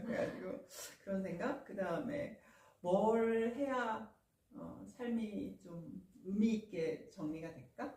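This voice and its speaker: Over noticeable background noise, a woman with a fairly high pitch talks at a very slow pace, lively in intonation, with big swings in loudness. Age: 50s. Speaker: former teacher. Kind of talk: casual talk show conversation.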